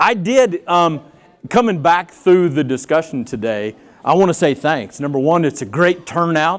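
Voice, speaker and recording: Speaking at a moderate pace, a man uses lively intonation and a fairly high pitch. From Texas. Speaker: company executive. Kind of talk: conference speech.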